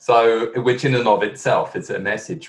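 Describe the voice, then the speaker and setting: Music plays behind a man speaking in a London accent. His pace is moderate. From London, England. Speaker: management consultant. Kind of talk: interview. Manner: hesitant, many fillers.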